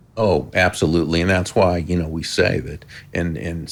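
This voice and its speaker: This man's very deep, low voice carries vocal fry, moving at a moderate pace with ordinary pitch variation. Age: 60s. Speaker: author and former sales speaker. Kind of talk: interview on a business podcast.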